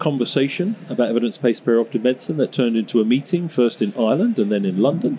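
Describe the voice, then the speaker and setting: A man rattles off his words very quickly, his pitch varying in an ordinary way, with noticeable noise behind him. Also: very even loudness. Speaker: co-host, professor. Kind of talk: casual chat.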